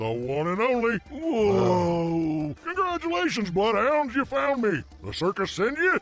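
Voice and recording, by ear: A man does a cartoonish character voice in a high pitch at a fairly slow pace. Light background noise can be heard.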